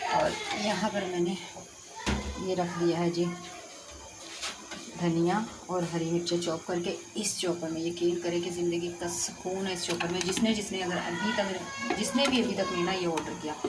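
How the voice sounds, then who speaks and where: A woman with a fairly low voice speaks in a fairly even tone, pausing long and often, with audible room echo and noticeable background noise. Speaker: family vlogger. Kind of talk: casual vlog chat.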